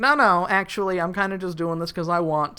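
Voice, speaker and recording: A female-sounding, put-on character voice rattles along at a very fast pace in a medium pitch. Light background noise sits behind it. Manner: casual, reluctant, freelancing.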